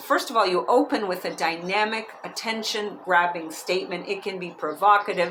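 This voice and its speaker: At a moderate pace, a woman with a medium pitch speaks over noticeable background noise. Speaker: author and public speaking coach. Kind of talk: audiobook-style reading by the author with casual, chatty asides. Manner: lively, humorous, conversational.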